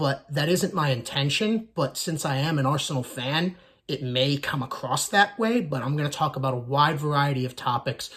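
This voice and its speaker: In an American accent, a man with a plain, everyday voice talks at a moderate pace in a fairly high pitch with ordinary pitch variation. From United States. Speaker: soccer YouTuber, Arsenal fan. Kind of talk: casual channel introduction monologue.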